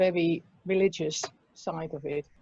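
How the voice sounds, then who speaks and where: A woman with a Dutch accent speaks in a dark, mellow tone. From Netherlands. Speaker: restorative justice practitioner and prison support worker. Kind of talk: interview.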